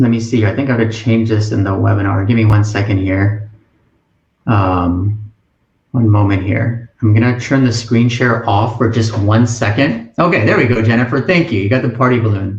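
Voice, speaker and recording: With audible room echo, a man speaks in a somewhat breathy voice at a moderate pace, keeping fairly even intonation and very even loudness. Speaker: college admissions advisor; webinar host. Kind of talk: webinar presentation. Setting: online webinar with chat. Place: home room. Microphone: webcam.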